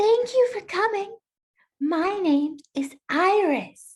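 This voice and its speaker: A woman's squeaky, put-on character voice at extremely high pitch, very slow pace and lively intonation. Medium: game stream. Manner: soft, hesitant.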